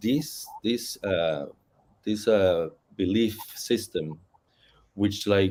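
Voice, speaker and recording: A man with a Spanish accent, a dark, mellow tone and lively intonation, at a very slow pace. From Puerto Rico, Ponce. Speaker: novelist and Ifa practitioner. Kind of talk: panel discussion. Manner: halting.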